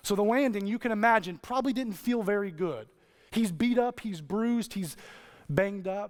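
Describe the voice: Someone reads a text aloud in a plain manner.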